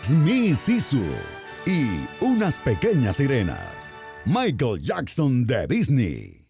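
There is music in the background as a man speaks. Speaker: voice-over narrator. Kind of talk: parody movie trailer narration.

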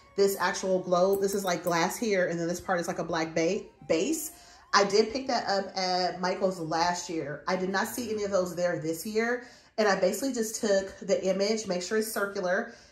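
A woman at a moderate pace, ordinary pitch variation, audible room echo and faint music in the background. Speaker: home decor vlogger. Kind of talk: casual vlog chat. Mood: upbeat, playful. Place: home room. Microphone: phone near.

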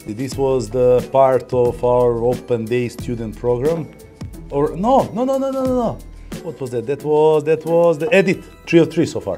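Faint music plays in the background as a man with a strong Eastern European accent speaks at a very slow pace with ordinary pitch variation. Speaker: company employee, delivery team manager. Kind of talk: non-native English with grammar slips. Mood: relaxed, amused. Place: office.

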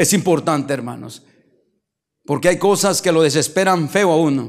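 Moderate pace and ordinary pitch variation against a quiet background. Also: man. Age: 50s. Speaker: pastor. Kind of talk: sermon. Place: church. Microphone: handheld.

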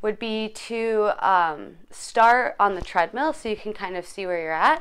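This woman's loudness swings widely as she speaks at a fairly slow pace. Her intonation is lively. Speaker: fitness vlogger. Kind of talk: casual vlog chat. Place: home room. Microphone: phone near.

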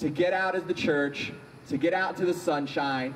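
With light background noise behind him, a man talks at a moderate pace in a high pitch with ordinary pitch variation. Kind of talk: service announcements and prayer intro. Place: street. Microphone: handheld.

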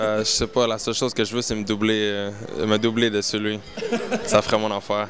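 Spoken in a Quebec accent at a fairly quick pace, the voice has a flat, monotone intonation, long and frequent pauses, and noticeable background noise. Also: man, fairly low pitch for a man. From Canada. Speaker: poker player. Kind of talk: interview answer. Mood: relaxed, smiling. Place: bar. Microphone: handheld.

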